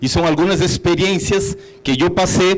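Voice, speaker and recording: A man talks with a high pitch and ordinary pitch variation. There is audible room echo along with noticeable background noise. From Brazil, São Paulo. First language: Portuguese (speaking Spanish). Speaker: hotel executive. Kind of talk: conference talk.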